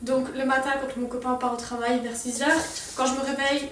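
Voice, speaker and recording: Over noticeable background noise and audible room echo, a woman talks at a fairly quick pace in a high-pitched, monotone, flat voice. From Strasbourg, Alsace, France. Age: young (18). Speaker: lifestyle vlogger. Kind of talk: casual vlog talk to camera.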